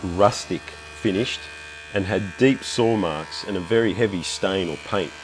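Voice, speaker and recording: A man speaks at a moderate pace with a fairly low pitch, over noticeable background noise. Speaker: woodworking YouTuber. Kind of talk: tutorial narration.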